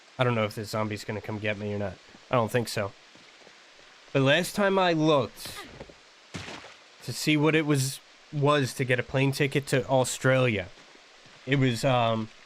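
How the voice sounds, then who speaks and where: Against noticeable background noise, a man at a medium pitch speaks with ordinary pitch variation and long, frequent pauses. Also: moderate pace. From New Jersey. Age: 30s. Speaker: gaming streamer, military veteran. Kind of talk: casual chat.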